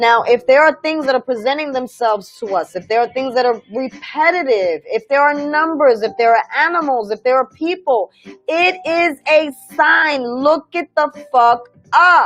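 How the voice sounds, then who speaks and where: A woman's high voice moves with lively intonation at a moderate pace. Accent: New York. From New York. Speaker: spiritual livestream host. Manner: animated.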